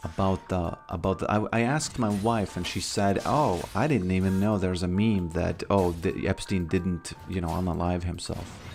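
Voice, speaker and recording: A man speaks with a Latvian accent at a fairly low pitch. Music plays in the background. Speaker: game streamer. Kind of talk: live stream chat. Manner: halting, many fillers and restarts.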